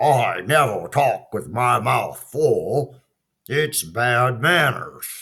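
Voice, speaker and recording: A put-on character voice from a man, raspy, medium in pitch and very slow in pace. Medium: read story. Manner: fussy, worried.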